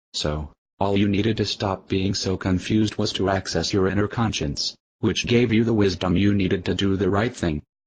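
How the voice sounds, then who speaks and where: A man's put-on character voice, calm in tone, over a quiet background. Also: fairly low pitch for a man, moderate pace. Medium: comedy sketch. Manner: calm, patient.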